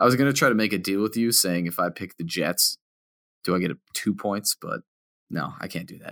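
A man with a normal speaking voice at a fairly low pitch talks at a fairly quick pace with ordinary pitch variation and big swings in loudness, on a very clean recording with a silent background. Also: dry, close sound with no echo. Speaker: fantasy football podcast co-host. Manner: jokey, self-deprecating.

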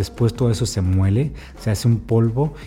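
A man's fairly low, dark, mellow voice, somewhat breathy, with ordinary pitch variation and a fairly quick pace. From Baja California, northern Mexico. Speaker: podcast host and food book author. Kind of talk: podcast narration and interviewing.

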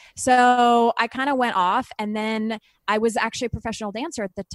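A woman with a normal speaking voice, fairly high pitch and a moderate pace. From Canada. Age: 40s. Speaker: TV host and author. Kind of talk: casual interview.

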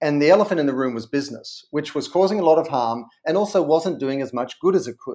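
A man with an Australian accent talks very fast, with hardly any pauses. His fairly high-pitched voice has a dark, mellow tone and ordinary pitch variation. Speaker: brand consultant and author. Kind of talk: interview.

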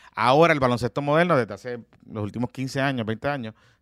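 A man with an ordinary speaking voice at medium pitch, on a very clean recording with a silent background. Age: 30s. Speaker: podcast co-host. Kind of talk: casual chat.

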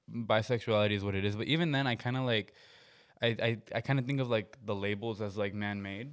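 A man speaks at a very fast pace. His fairly low voice keeps fairly even intonation. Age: 20s. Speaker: musician. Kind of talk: casual chat.

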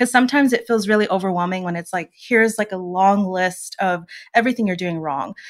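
A woman speaks at a very fast pace with medium pitch and ordinary pitch variation, on a very clean recording with a silent background. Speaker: podcast co-host, powerlifter. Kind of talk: casual chat.

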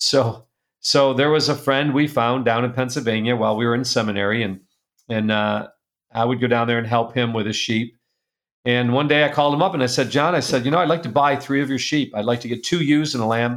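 An unremarkable speaking voice from a man, medium in pitch, with ordinary pitch variation and a fairly quick pace. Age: 60s. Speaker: publisher and speaker. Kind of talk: casual interview.

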